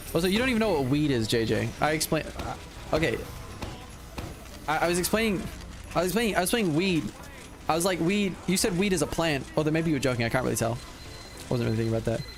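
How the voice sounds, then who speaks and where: With music behind him and audible room echo, a man with a fairly high pitch talks at a very fast pace, keeping his loudness very even while his pitch swings very widely around long, frequent pauses. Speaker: gaming streamer. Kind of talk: live stream chat while gaming. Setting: live stream. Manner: animated.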